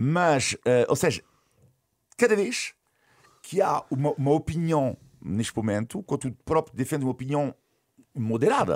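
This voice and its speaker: Vocal fry runs through this fairly slow delivery, with the pitch swinging very widely up and down. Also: man. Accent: French. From France. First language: French (speaking Portuguese). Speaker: sports journalist and commentator. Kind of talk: casual interview.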